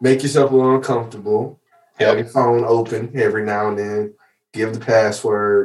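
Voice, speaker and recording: His speaking voice is unremarkable and sits at a medium pitch. The man keeps a fairly quick pace. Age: 20s. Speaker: podcast host. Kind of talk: casual chat.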